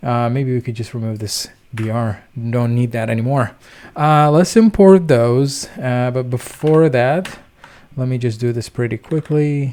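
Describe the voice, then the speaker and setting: This man has a dark, mellow tone at medium pitch. He speaks at a fairly slow pace with ordinary pitch variation. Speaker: programming tutor, coding channel host. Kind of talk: screen-recorded coding tutorial. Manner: casual, many filler words (uh, um).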